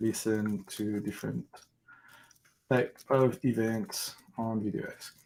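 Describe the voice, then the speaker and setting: Speaking very slowly with long, frequent pauses, a man with a French accent keeps a medium pitch and fairly even intonation. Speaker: developer live-coding host. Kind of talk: live coding stream chat.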